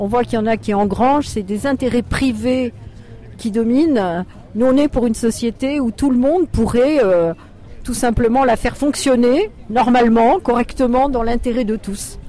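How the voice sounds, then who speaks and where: Noticeable background noise sits behind a voice at a moderate pace with ordinary pitch variation. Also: woman, high pitch for a woman. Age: old. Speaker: retired activist protester. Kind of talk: street interview. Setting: outdoors at a street demonstration.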